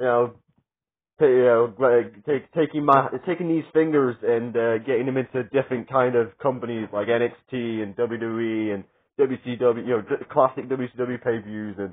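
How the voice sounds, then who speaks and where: A man speaks at a medium pitch with ordinary pitch variation. His pauses are long and frequent, and the background is quiet. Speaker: wrestling media collector vlogger. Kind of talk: casual vlog. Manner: fast; loud. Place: home room. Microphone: phone near.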